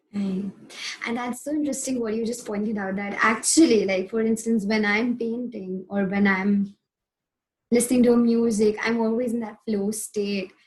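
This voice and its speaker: A woman with an unremarkable speaking voice, fairly high in pitch, fairly even in intonation and moderate in pace. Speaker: podcast host. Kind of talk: interview.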